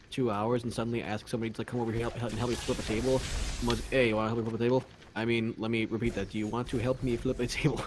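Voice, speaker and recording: Against noticeable background noise, the speaker mumbles at a very fast pace in a monotone, flat delivery. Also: man, medium pitch for a man. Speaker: gaming streamer. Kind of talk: casual chat. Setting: home bedroom livestream. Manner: stutters and mumbles.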